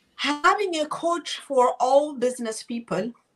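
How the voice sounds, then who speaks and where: A woman with a non-native accent, at a fairly slow pace. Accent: foreign. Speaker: real estate and financial services agent. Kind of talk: interview.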